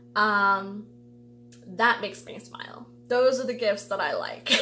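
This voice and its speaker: Speaking at a very slow pace, a woman with a fairly high pitch and ordinary pitch variation is heard with audible room echo. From US (Ecuadorian-born). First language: Spanish. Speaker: tarot reader youtuber. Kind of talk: casual vlog monologue. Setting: home video recording under lights. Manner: chatty, many fillers.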